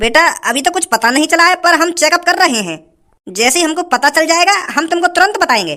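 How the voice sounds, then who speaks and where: This is a cartoonish character voice at an extremely high pitch. It moves at a fairly quick pace. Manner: calm, measured.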